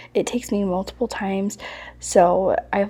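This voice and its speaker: The voice is soft-spoken. Its tone is dark and mellow. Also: woman. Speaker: home decor vlogger. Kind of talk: casual voiceover narration. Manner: soft-spoken, quieter to avoid waking baby.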